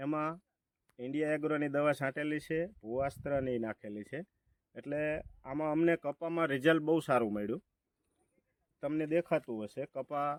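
The recording is very clean with a silent background and a dry, close sound with no echo, capturing a man's fairly high pitch, ordinary pitch variation and a plain, everyday voice. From Gujarat, Halvad area. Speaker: farmer. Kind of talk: testimonial. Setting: outdoors in a cotton field.

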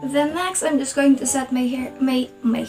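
A woman with a high pitch at a fairly slow pace, with clear music in the background. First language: not English. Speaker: vlogger. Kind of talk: casual vlog talk to camera. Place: home room. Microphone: phone near.

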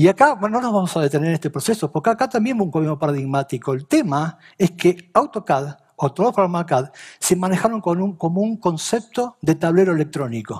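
Against a quiet background, a man with a high voice talks at a fairly quick pace with lively intonation. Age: 50s. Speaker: BIM and CAD consultant; presenter. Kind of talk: talk to an audience. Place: stage. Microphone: headset.

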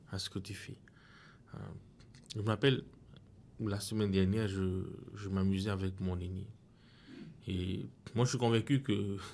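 The delivery is fairly slow, and the intonation stays fairly even. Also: man. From French Polynesia. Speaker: pastor. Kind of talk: Bible study discussion. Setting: studio. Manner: halting. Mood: calm, reflective. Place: studio. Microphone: studio mic.

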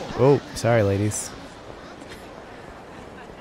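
With ordinary pitch variation, the speaker reads in a natural voice.

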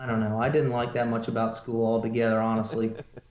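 A man speaks with an American accent. Audible room echo surrounds his voice. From Ohio, US Midwest. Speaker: drag racing team member; guest. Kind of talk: casual interview. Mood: relaxed, candid. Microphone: video call.

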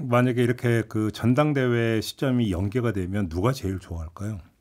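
Against a quiet background, a man speaks at a moderate pace with hardly any pauses and ordinary pitch variation. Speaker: radio current affairs host; radio host moderating political panel. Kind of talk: radio panel discussion. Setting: radio studio. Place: studio. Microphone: studio mic.

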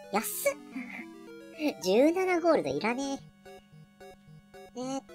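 The voice is high in pitch and very slow, with faint music in the background. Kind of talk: casual let's-play commentary. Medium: virtual streamer. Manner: chatty, relaxed, thinks aloud.

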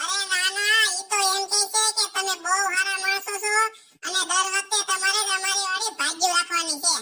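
A cartoonish character voice at an extremely high pitch delivers its lines at a moderate pace in a monotone, flat intonation.

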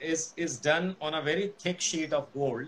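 Over light background noise, the speaker keeps a moderate pace and fairly even intonation. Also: man. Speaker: guest. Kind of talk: interview answer. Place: office. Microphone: video call.

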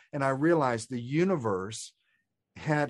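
Here a man with an American accent uses a normal speaking voice, fairly high in pitch, with lively intonation at a moderate pace. The recording is very clean, the background silent. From Texas. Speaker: spiritual author and coach. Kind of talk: interview conversation.

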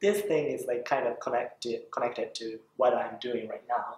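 A man with a Japanese accent talks at a moderate pace, and audible room echo can be heard. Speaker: voice actor. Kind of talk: interview. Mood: warm, earnest, animated. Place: classroom.

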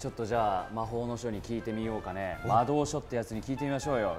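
A man rushes along at a very fast pace with hardly any pauses and ordinary pitch variation. Clear music plays in the background. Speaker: voice actor. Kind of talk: casual variety show talk. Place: gym.

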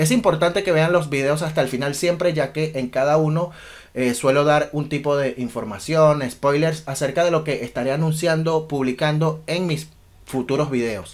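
This man's voice is fairly high-pitched. It varies in pitch in an ordinary way. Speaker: DJ. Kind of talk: casual talk to camera. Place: home room.

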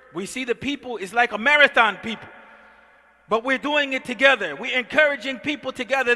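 Raising and projecting his extremely high voice, a man speaks at a fairly quick pace with ordinary pitch variation. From US, North Philadelphia. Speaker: imam. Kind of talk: sermon. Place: church. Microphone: headset.

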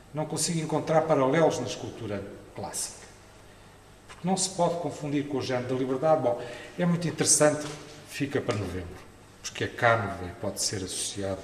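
In a European Portuguese accent, a man talks with a fairly high pitch and very wide pitch swings. Audible room echo and light background noise are present. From Portugal. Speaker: art historian, professor; professor. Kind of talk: conference talk. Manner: hesitant, with fillers. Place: hall. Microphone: podium.

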